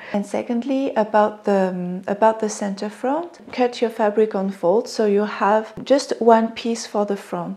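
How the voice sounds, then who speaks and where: Very slow, fairly even delivery in a French accent, with a dark, mellow tone. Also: woman. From France. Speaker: sewing pattern designer. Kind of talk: casual talk to camera.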